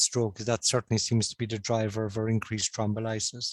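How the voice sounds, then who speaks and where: On a very clean recording with a silent background and a dry, close sound with no echo, a man with a slight Cork accent speaks fairly quickly at a medium pitch. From Ireland, Cork. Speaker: stroke consultant. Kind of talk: conference presentation.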